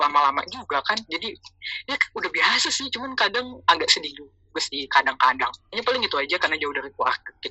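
The speech moves at a very fast pace. Noticeable background noise is present. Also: woman. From Jakarta, Indonesia. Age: 20s. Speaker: content creator. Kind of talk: casual chat. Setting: remote call.

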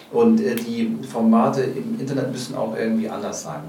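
Over noticeable background noise and audible room echo, a man talks at a moderate pace with lively intonation. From Hamburg. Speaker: comedian. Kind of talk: casual interview.

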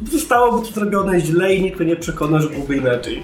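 A man talks very fast at a high pitch. There is noticeable background noise and audible room echo. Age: 30s. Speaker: podcast host. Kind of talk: casual chat.

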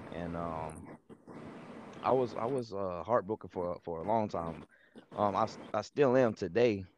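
A man speaks at a fairly slow pace with a fairly low pitch and ordinary pitch variation. His pauses are long and frequent. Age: 20s. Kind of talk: testimony. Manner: halting. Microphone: too quiet.

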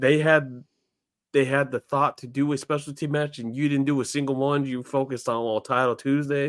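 In a very clean recording with a silent background and a dry, close sound free of echo, a man with a plain, everyday voice talks at a moderate pace and a medium pitch. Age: 30s. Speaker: wrestling podcast co-host. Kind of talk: casual chat.

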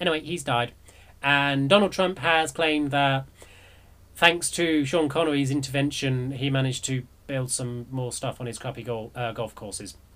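A voice with ordinary pitch variation, speaking at a fairly quick pace. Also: man. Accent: English. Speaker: community radio host. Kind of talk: news commentary, casual and sarcastic. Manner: rambling, with many fillers.

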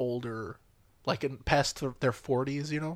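In a plain, everyday voice, a man speaks at a moderate pace with a fairly high pitch. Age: 20s. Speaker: podcast co-host. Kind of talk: casual chat.

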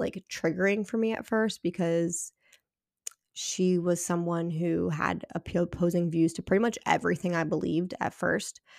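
A woman's unremarkable speaking voice, fairly low in pitch, with fairly even intonation and a moderate pace, dry and close with no echo, on a very clean recording against a silent background. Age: 30s. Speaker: podcast host, mother. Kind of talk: solo podcast monologue. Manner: casual, conversational with fillers.

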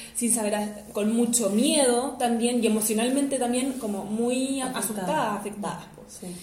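A woman with a Chilean accent speaks with fairly even intonation, noticeable background noise and audible room echo. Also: fairly high pitch for a woman, moderate pace. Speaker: podcast co-host. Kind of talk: casual chat. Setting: guest's home.

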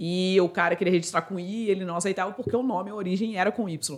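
A woman at a medium pitch with ordinary pitch variation, an ordinary speaking voice. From Brazil, Itatiaia (Rio de Janeiro state). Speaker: customer success expert and author. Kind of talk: interview conversation.

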